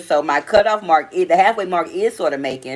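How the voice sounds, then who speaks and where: Speaking at a fairly quick pace with an animated tone, a woman with a strong Southern US accent has a fairly low pitch. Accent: strong Southern country. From US South. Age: 40s. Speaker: live stream host. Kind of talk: casual live stream chat. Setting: live stream.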